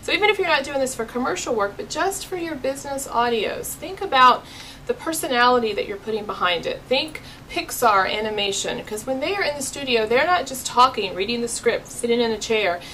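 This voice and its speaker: Upbeat and enthusiastic, a woman speaks in a raised, projected voice at a high pitch with very wide pitch swings. Her pace is fairly quick, with noticeable background noise. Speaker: business owner and voiceover talent. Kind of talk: casual talk to camera. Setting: studio. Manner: upbeat, enthusiastic.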